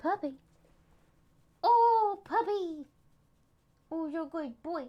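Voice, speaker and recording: A woman uses a put-on character voice with an extremely high pitch. She speaks at a fairly slow pace. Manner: high, sweet talking-to-a-dog voice.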